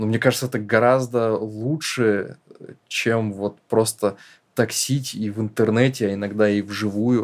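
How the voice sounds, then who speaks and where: This man has an unremarkable speaking voice at medium pitch, with fairly even intonation. The recording is very clean, with a silent background. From northern Russia. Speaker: screenwriter-producer, podcast co-host. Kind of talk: casual chat.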